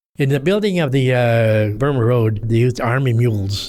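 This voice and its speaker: With music in the background, a man with an American accent talks at a moderate pace and medium pitch. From Los Angeles. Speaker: war veteran. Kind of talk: interview answer.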